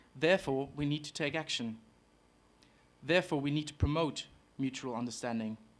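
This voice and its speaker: Recorded very cleanly against a silent background, a man with a German accent speaks at a fairly quick pace and a fairly high pitch, with ordinary pitch variation and long, frequent pauses. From Germany, Hamburg. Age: 20s. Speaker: exchange student. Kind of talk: prepared speech. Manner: formal.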